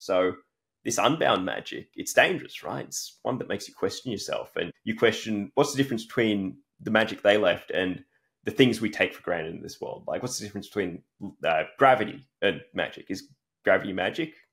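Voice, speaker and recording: A man speaks fairly quickly in an Australian accent. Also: big swings in loudness. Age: 30s. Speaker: fantasy author. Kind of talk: interview; reading aloud. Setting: podcast.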